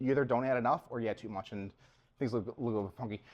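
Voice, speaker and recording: Against a quiet background, a man with a Long Island accent speaks with ordinary pitch variation. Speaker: front-end engineer, meetup speaker. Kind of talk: conference talk. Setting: stage with audience at meetup. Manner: casual, halting with fillers.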